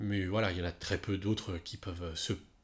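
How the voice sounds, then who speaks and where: On a very clean recording with a silent background, a somewhat breathy man speaks with ordinary pitch variation. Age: 40s. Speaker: music journalist and podcast host. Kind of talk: solo podcast monologue. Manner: casual, with many fillers.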